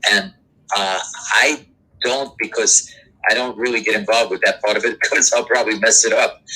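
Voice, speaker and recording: With a New York accent, a man talks at a fairly quick pace but leaves long, frequent pauses. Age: 70s. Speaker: doo-wop singer. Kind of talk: interview. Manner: halting.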